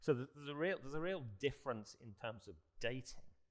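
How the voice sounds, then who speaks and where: Here a man talks at a fairly quick pace in a British accent. His pitch swings very widely. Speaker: barrister and panelist. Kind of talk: panel discussion. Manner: halting, with repeated restarts.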